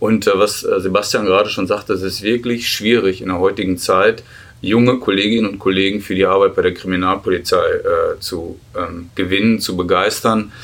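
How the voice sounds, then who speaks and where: A man talks at a fairly low pitch. His intonation is monotone and flat. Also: moderate pace. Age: 50s. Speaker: federal police officer and union official. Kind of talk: interview. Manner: hesitant, many filler sounds.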